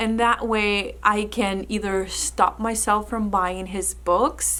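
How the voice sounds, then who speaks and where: A woman speaks with a Spanish accent. Her pace is very slow. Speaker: book content creator. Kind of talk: casual vlog talk.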